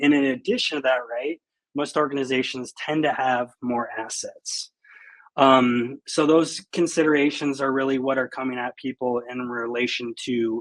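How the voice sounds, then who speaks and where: A man talks at a moderate pace with a medium pitch. His intonation is monotone and flat. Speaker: security researcher. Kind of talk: conference talk. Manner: many fillers, halting.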